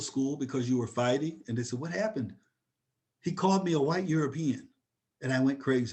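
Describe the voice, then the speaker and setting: There is audible room echo around a man with an American accent. He speaks with ordinary pitch variation. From upstate New York. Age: 60s. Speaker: professor. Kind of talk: webinar lecture.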